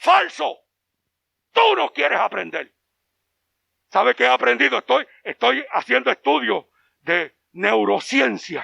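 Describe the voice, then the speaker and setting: Animated and bright, sharp in tone, a man speaks at a fairly slow pace and a fairly high pitch, in a dry, close sound with no echo. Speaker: pastor. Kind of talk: sermon.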